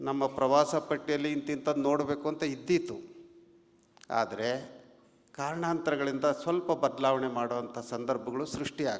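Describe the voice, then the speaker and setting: A man with an unremarkable speaking voice talks at a fairly high pitch, his intonation fairly even. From Karnataka, Haveri district (north Karnataka). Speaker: religious leader (swami). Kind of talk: public speech. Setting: stage at felicitation ceremony. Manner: measured, with frequent pauses.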